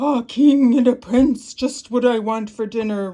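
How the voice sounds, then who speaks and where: A woman puts on a character voice pitched high. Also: moderate pace. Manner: roaring, menacing.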